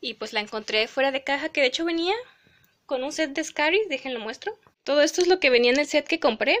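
High-pitched and lively in intonation, a woman talks at a fairly quick pace in a dry, close sound with no echo. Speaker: doll collector YouTuber. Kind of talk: casual haul video. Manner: fast.

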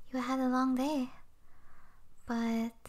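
A woman with a high voice talks at a very slow pace in a menacing tone. Noticeable background noise sits behind her. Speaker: ASMR roleplay voice actor. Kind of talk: ASMR yandere roleplay, whispered possessive monologue to a captive listener. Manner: hushed, tender and menacing, slow, intimate, with soft sweet laughs.

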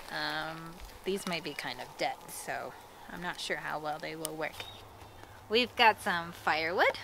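A woman speaks fairly slowly with big swings in loudness, in a dry sound with no echo and noticeable background noise. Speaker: language teacher. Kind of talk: tutorial. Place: forest.

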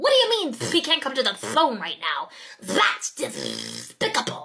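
The speaker puts on a character voice and keeps to a moderate pace. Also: woman.

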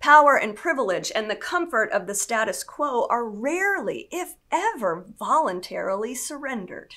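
Speech comes at a very slow pace over a quiet background. The pitch swings very widely. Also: woman. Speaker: senior pastor of a church. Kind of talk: sermon delivered to a congregation. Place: studio.

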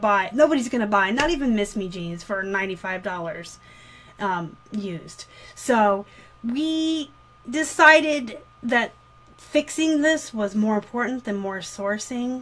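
With lively intonation, the woman talks at a fairly slow pace. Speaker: online reseller. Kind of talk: casual vlog chat. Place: home room. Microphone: webcam.

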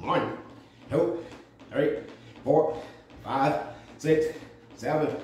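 A man speaking at a very slow pace, with light background noise and audible room echo. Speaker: fitness instructor. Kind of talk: guided workout coaching. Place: gym. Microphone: camera far.

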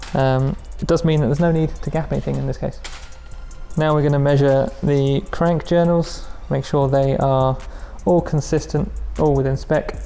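Fairly even intonation from a man, with faint music in the background. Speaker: presenter. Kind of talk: tutorial. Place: workshop.

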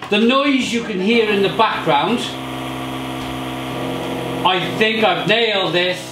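Over music in the background, a man speaks at a very slow pace with ordinary pitch variation. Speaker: beer reviewer. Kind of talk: casual vlog chat. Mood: cheerful, upbeat. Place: home room.

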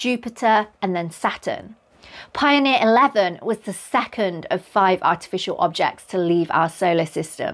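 This woman talks at a fairly slow pace. Her intonation is lively. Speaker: presenter. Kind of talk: educational explainer.

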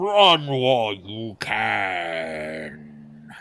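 In a booming, put-on character voice, a man speaks at a fairly low pitch. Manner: ominous warning.

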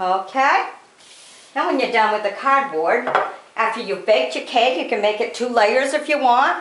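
A woman talks at a moderate pace with a high pitch and lively intonation. Noticeable background noise sits behind her. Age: 50s. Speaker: cake decorating vlogger. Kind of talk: tutorial. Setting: home kitchen. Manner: casual, chatty.

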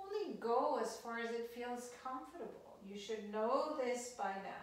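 A woman speaks at a very slow pace. The room echo is clearly audible. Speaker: exercise instructor. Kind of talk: guided exercise instruction. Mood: calm, gentle, encouraging. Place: home room. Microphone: camera far.

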